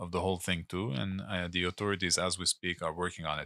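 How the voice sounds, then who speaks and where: Very deep, low male voice with a bright, sharp tone and fairly even intonation, dry and close with no echo, on a very clean recording with a silent background. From Lebanon. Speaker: former municipal politician, infrastructure director. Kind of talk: casual interview.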